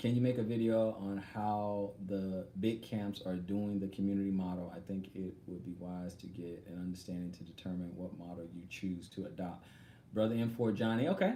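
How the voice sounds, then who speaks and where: A man with an American accent speaks at a fairly low pitch and a moderate pace, his tone dark and mellow. His pitch varies in an ordinary way, and there is audible room echo. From Texas. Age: 40s. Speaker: online religious teacher. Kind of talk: live stream Q&A. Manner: halting.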